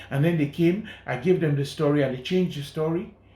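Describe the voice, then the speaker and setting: Somewhat breathy, this man's voice sits at a fairly high pitch. Its tone is dark and mellow. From Sierra Leone. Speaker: journalist and documentary filmmaker. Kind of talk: interview.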